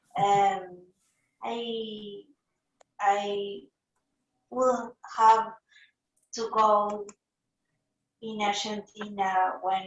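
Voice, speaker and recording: A woman speaks with a Spanish accent at a medium pitch. Her intonation is monotone and flat. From Uruguay. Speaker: fan. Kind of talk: fan video call Q&A. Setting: video call. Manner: halting.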